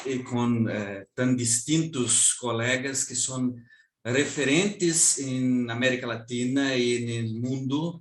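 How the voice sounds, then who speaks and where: A man with a Brazilian accent at a very slow pace. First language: Portuguese (speaking Spanish). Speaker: law professor. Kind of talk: academic lecture. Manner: halting.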